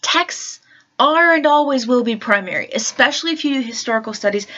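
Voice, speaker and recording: Her pitch moves in an ordinary way. The speaker is a woman. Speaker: vlogger and religious studies teacher. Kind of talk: casual vlog monologue. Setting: at home in her room. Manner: hesitant, many fillers. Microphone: new laptop mic, better sound quality.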